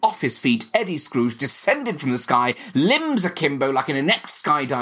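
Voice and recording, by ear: The passage is read aloud in a natural voice.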